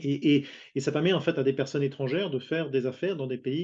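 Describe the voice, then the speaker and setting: A man talks at a very fast pace with fairly even intonation. His pitch is fairly high, and his tone is dark and mellow. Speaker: international business consultant. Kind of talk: panel interview. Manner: halting, many repetitions and fillers.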